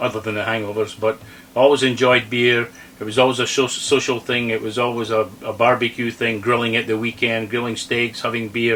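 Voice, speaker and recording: Flat, monotone delivery at a fairly quick pace with noticeable background noise. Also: man, medium pitch for a man. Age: 60s. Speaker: RV vlogger. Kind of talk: casual chat.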